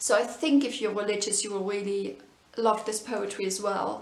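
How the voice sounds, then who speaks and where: Audible room echo and noticeable background noise surround a woman whose fairly high voice keeps a fairly even intonation. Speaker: book reviewer. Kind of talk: casual book review. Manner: many fillers, hesitant.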